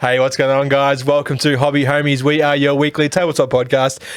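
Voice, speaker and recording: An Australian-accented man with a fairly high pitch, flat monotone intonation and a moderate pace. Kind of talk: casual podcast hosting.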